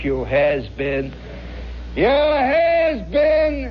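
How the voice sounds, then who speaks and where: A man puts on a gruff character voice. Clear background noise is audible behind him. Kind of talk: coarse, ungrammatical. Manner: taunting.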